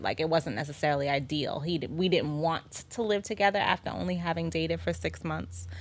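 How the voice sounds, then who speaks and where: This woman's voice has a very deep, low pitch and vocal fry. The recording is very clean, with a silent background. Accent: New York. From Staten Island, New York. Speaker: wife in couple interview. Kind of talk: casual interview.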